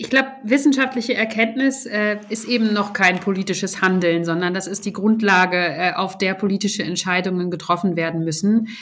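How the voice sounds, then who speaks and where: This woman talks at a moderate pace with a medium pitch, ordinary pitch variation and hardly any pauses. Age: 30s. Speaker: member of parliament. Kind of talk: casual chat. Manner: halting.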